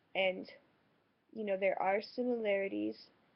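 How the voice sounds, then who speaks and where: A woman with an American accent speaks at a moderate pace and a medium pitch. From France. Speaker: vlogger. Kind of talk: personal vlog monologue. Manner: hesitant, many fillers.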